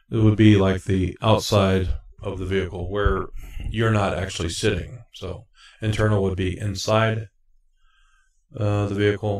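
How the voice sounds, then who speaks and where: A man with a fairly low, somewhat breathy voice speaks at a moderate pace in a monotone, flat way, leaving long, frequent pauses over a quiet background. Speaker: CDL exam tutorial maker. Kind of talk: tutorial. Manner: halting, many fillers. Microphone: new mic with reverb.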